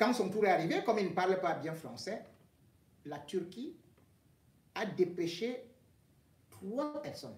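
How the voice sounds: A man with a high pitch talks at a fairly slow pace, making big pitch swings and leaving long, frequent pauses.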